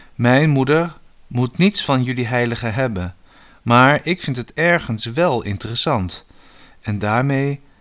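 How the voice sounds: The clip uses a natural reading voice. That voice holds from start to finish.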